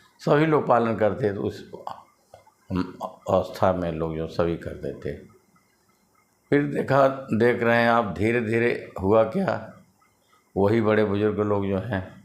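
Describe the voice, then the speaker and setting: Long, frequent pauses break up a man's fairly low voice, which has lively intonation. The room echo is audible. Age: 60s. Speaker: social commentator. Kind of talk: monologue commentary.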